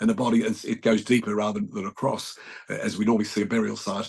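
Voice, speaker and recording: With an Australian accent, a man rattles off words very fast, his pitch medium and his intonation fairly even. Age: 70s. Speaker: journalist. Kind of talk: interview answer.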